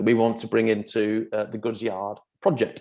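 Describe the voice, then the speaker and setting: A man with a Manchester accent speaks at medium pitch and a fairly quick pace, his tone dark and mellow. The recording is very clean, with a silent background. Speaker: property developer. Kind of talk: presentation. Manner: halting, many fillers.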